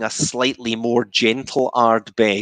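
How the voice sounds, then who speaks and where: A man with a Scottish accent at a fairly slow pace, against a quiet background with dry sound and no echo. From Scotland. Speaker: whisky maker. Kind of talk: guided whisky tasting. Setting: video call. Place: home room. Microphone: headset.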